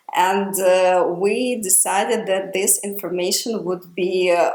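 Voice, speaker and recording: A woman at medium pitch, speaking at a very slow pace, with audible room echo. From Ukraine. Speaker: podcast host. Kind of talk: casual podcast conversation. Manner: hesitant, many fillers.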